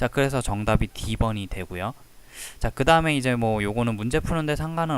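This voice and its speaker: The recording is very clean, with a silent background. A man speaks at a fairly quick pace in a medium pitch with ordinary pitch variation. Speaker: statistics tutor. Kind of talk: tutorial. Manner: speeds up when explaining.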